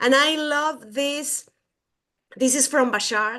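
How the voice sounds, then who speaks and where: Against a quiet background, a woman with a Mexican accent talks at a very slow pace in a high pitch. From Mexico. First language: Spanish. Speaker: podcast co-host. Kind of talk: casual chat.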